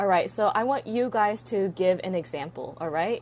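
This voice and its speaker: The tone is animated. The pace stays fairly slow. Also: woman. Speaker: English teacher. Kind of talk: live stream lesson.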